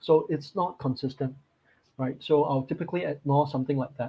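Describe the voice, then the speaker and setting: A man speaks in a fairly high pitch with ordinary pitch variation. His voice is somewhat breathy. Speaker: market strategist. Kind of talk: webinar presentation. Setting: online webinar.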